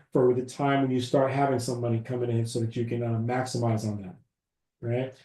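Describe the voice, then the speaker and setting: A man's dark, mellow, somewhat breathy voice at a fairly quick pace. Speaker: business credit educator. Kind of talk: webinar presentation. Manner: fast.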